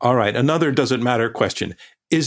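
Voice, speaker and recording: Delivered at a very fast pace, the speech comes on a very clean recording with a silent background. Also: man. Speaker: debate moderator. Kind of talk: moderating a debate.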